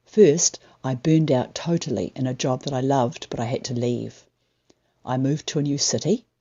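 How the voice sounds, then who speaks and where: At a fairly quick pace, a woman with a New Zealand accent speaks in a very deep, low pitch with ordinary pitch variation. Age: 60s. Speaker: writer. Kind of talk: personal story told on stage.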